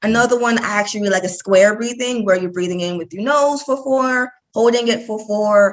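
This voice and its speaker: A woman has a normal speaking voice at medium pitch with ordinary pitch variation. She talks at a fairly quick pace. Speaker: mental health counselor. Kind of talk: interview.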